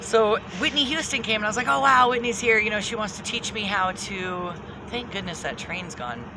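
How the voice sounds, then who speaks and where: A woman talks at a fairly quick pace in a fairly high voice. Audible room echo and noticeable background noise fill the recording. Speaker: spiritual channeler, video host. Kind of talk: casual monologue, spiritual storytelling. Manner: stuttering, filler-heavy.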